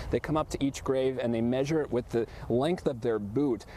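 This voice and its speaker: Fairly even intonation from a man, pitched in the medium range. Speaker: TV news reporter. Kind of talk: live field report. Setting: outdoors at a cemetery. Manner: soft-spoken.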